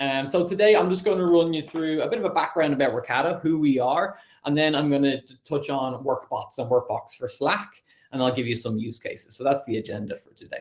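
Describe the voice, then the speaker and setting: Speaking in an Irish accent at a fairly quick pace, a man has a fairly high pitch, lively intonation and big swings in loudness. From Ireland. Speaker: sales account executive. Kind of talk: online presentation.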